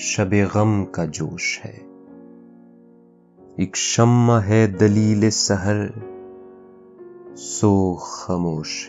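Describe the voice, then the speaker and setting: A man speaks at a fairly low pitch with fairly even intonation. His loudness swings widely, and music plays in the background. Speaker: poetry reciter. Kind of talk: poetry reading. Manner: calm, soulful.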